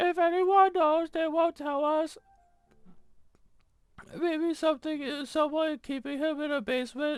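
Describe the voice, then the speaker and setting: A woman's put-on character voice, high in pitch and fairly even in intonation, at a moderate pace with long, frequent pauses and music in the background. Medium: game stream. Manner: blunt, matter-of-fact.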